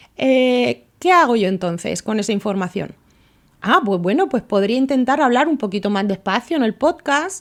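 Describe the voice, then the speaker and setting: A woman with a fairly high voice speaks at a moderate pace. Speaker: podcast host. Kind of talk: solo podcast monologue.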